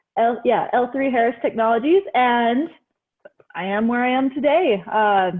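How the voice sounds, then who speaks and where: A woman with a Utah accent speaks at a moderate pace in a high voice. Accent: Utah American English. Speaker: software engineering manager. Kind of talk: panel discussion.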